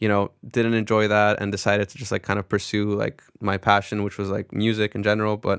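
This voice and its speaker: A man with a fairly low pitch speaks at a fairly quick pace in monotone, flat intonation, with big swings in loudness, on a very clean, dry, close recording with no echo and a silent background. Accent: American. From Netherlands, American expat school. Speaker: record label executive. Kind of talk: interview, casual chat. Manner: casual, many fillers.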